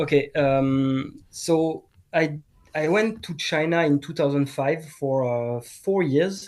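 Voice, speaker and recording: Recorded very cleanly against a silent background, a man with a French accent speaks very slowly at a fairly high pitch. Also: ordinary pitch variation. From France, Bordeaux. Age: 40s. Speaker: martial arts teacher. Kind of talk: casual chat. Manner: halting.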